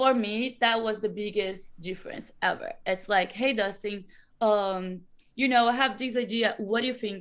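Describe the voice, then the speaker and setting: In a Brazilian Portuguese accent, a woman with a fairly high pitch speaks at a moderate pace with fairly even intonation. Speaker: professional wrestler. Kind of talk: interview.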